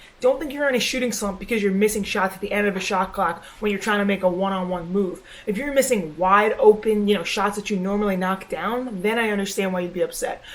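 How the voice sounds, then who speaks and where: Quiet and very fast, a woman speaks in a medium pitch with ordinary pitch variation over noticeable background noise. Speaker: basketball trainer vlogger. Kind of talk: vlog tutorial. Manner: casual.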